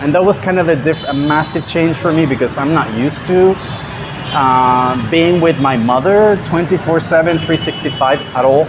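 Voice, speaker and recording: Amid noticeable background noise, a man with a fairly high pitch speaks at a moderate pace with ordinary pitch variation and very even loudness. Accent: Spanish. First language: Spanish. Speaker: travel vlogger. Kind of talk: casual vlog recap.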